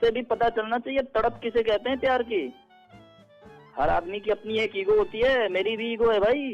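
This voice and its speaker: Over music in the background, a man speaks at a high pitch at a moderate pace. His pitch varies in an ordinary way. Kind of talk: phone call, prank victim. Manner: emotional, then indignant.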